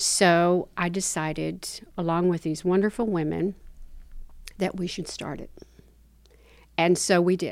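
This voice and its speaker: A woman with a Southern US accent speaks at a fairly slow pace in a fairly low pitch, her intonation flat and monotone, with long, frequent pauses. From US South, Tennessee and the Carolinas. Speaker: activist. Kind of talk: interview.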